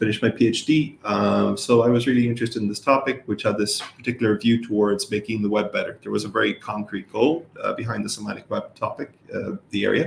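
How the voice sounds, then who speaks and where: A man with an Irish accent, talking at a very fast pace with hardly any pauses. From Ireland. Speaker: professor. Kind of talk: interview. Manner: hesitant, many fillers.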